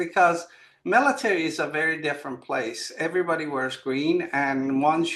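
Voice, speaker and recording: A man speaks at a moderate pace in a bright, sharp tone. His intonation stays fairly even. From Iran. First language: not English (English is third language). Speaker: author and military veteran. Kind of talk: interview. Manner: halting.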